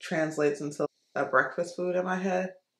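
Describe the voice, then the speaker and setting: A woman is heard with audible room echo and a quiet background. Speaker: beauty vlogger. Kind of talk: casual vlog chat. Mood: relaxed, chatty. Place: home room. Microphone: phone near.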